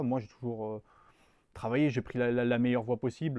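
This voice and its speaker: The speech moves at a fairly quick pace, with a dry, close sound with no echo and a quiet background. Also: man. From southern France, Nice area and Var. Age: 20s. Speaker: strategy consultant. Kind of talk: interview. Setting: studio. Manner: hesitant, many fillers and repetitions.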